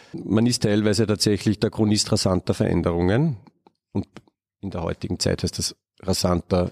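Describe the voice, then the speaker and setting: Long, frequent pauses from a man with an Austrian accent and a fairly low pitch, in a dry, close sound with no echo. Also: ordinary pitch variation, moderate pace. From Upper Austria. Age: 40s. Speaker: ecologist and biodiversity researcher. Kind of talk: interview. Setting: palm house of a botanical garden.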